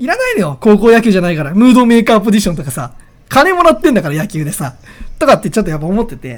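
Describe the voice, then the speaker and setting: A man talks at a very fast pace in a high, animated voice. His pitch swings very widely, and his loudness shifts in big swings. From Oita, Japan. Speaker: podcast host. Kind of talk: casual solo talk.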